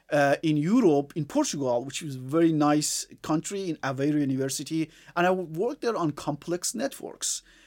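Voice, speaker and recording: In a very clean recording with a silent background, a man with an Iranian accent talks at a fairly quick pace, hardly pausing, his fairly high pitch showing ordinary variation. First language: Farsi. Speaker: engineer. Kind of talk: casual chat. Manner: halting.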